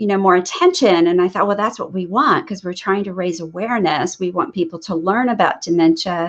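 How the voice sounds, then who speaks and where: The speaker is a woman. The background is quiet. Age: 60s. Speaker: nurse practitioner and photographer. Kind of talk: interview. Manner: halting, with many fillers.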